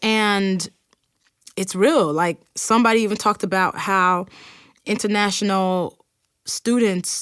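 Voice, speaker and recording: A woman with an American accent and a normal speaking voice, medium pitch, ordinary pitch variation and a fairly slow pace, on a very clean recording with a silent background. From Nigeria. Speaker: podcast host. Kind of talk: podcast monologue with listener messages read aloud. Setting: recording studio. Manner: casual, conversational.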